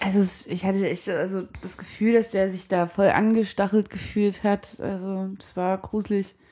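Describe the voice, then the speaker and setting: Against noticeable background noise, a woman talks at a moderate pace with hardly any pauses, her medium-pitched voice monotone and flat in intonation but showing big swings in loudness. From Saxony, Sebnitz. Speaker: drummer. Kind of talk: casual radio conversation. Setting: at the guest's home.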